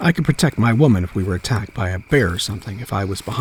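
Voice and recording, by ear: The reading aloud is done in a natural voice. Lively intonation runs through it.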